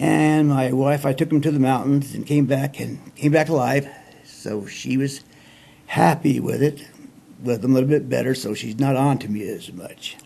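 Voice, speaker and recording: With fairly even intonation, an ordinary speaking voice proceeds at a moderate pace. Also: man, medium pitch for a man. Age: 60s. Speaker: storyteller. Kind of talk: casual storytelling monologue. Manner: folksy, rambling.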